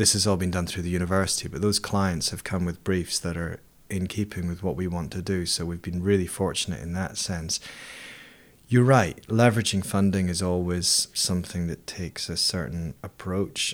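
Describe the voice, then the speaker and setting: Speaking at a fairly quick pace with an Edinburgh accent, a man uses a very deep, low pitch and fairly even intonation in a very clean recording with a silent background. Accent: Scottish (Edinburgh). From Scotland, Edinburgh. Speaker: volcanologist and university lecturer. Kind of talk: interview. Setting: his university office. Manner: hesitant, with fillers.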